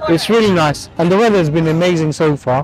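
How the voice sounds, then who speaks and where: Faint music plays in the background of a dry sound with no echo. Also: man. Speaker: travel vlogger. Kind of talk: casual vlog chat. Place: beach.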